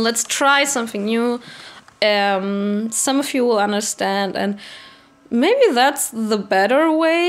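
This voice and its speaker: Her German accent clear, a woman talks in a fairly high pitch with ordinary pitch variation. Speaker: vlogger. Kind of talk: casual rant to camera. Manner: halting.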